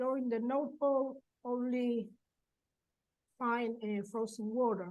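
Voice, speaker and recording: Here is a woman with a high pitch. Her intonation stays fairly even. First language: Spanish. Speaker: professor. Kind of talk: conference presentation. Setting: webinar. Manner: halting.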